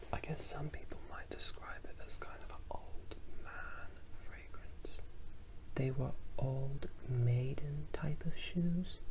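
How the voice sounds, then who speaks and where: Someone whispers at a very slow pace. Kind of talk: ASMR fragrance review. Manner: whispered; mumbling.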